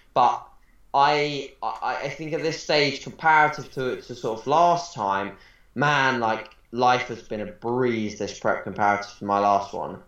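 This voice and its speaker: Fairly slow speech from a man at a medium pitch, with ordinary pitch variation and audible room echo. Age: 20s. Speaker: bodybuilding coach. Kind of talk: casual interview.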